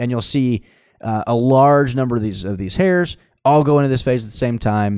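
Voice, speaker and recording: This man has a normal speaking voice with an American accent at a medium pitch. His pace is moderate and his pitch variation ordinary. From Oklahoma (Tulsa). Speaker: physician. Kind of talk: casual interview about medicine.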